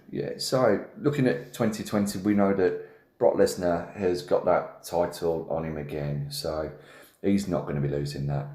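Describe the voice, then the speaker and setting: With a Birmingham accent, the speaker goes at a moderate pace with ordinary pitch variation amid audible room echo. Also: man. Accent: Brummie. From Birmingham, England. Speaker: wrestling podcast host. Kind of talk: casual chat.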